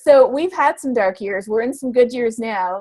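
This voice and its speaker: Her pitch high, a woman speaks at a fairly quick pace. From Canada. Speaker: climate scientist. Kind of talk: interview answer.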